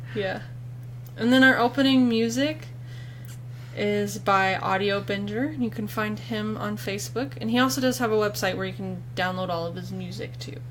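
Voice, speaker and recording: A woman talks at a moderate speed amid noticeable background noise and audible echo from the room. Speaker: podcast co-host. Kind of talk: casual chat. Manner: loud; animated.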